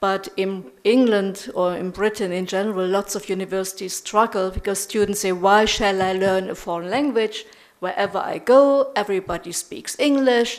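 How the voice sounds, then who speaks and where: A woman speaks at a moderate pace with a German accent. Her pitch is medium, with ordinary variation. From Germany. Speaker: professor. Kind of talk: lecture.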